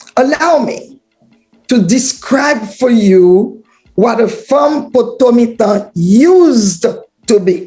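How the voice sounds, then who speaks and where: A woman's high-pitched voice with lively intonation at a very slow pace, over music in the background. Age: 70s. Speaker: author. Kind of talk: speech.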